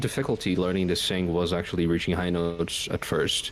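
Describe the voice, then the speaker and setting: A man with a very deep, low voice speaks with music in the background. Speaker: composer and singer. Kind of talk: casual interview. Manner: hesitant, many fillers.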